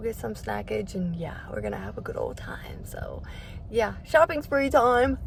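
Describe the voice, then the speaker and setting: Delivered at a moderate pace, the speech comes through noticeable background noise. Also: woman. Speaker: vlogger, mother. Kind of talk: casual talk to camera. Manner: upbeat.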